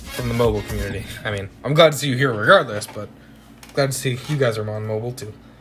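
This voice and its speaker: A man's medium-pitched voice at a very fast pace, with ordinary pitch variation, big swings in loudness and music in the background. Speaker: gaming livestreamer. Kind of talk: live gaming stream reading chat. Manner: fast, slurring words.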